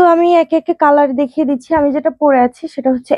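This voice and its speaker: This woman's intonation stays fairly even. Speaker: online clothing seller. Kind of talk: live sales pitch. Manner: casual, mixes in English words.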